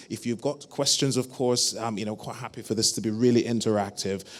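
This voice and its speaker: A man with a British accent, fairly even intonation and a fairly quick pace. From UK. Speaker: panel moderator, GP. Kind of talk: conference panel moderation. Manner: halting, many fillers.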